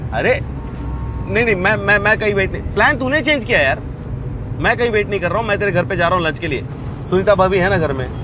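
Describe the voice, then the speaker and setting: A raised, projected voice carries lively intonation at a moderate pace. The sound is dry with no echo, with music in the background. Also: man. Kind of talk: scripted film dialogue, phone conversation. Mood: annoyed, protesting.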